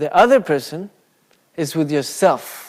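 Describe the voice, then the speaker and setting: With a non-native accent, a man talks in a lively intonation. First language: not English. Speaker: Buddhist speaker. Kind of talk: dharma talk. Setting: Buddhist centre with live audience. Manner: casual, conversational.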